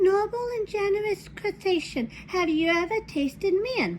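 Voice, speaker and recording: Someone does a squeaky put-on character voice at a moderate pace against clear background noise. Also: woman, extremely high pitch for a woman. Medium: read story. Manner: small, sly.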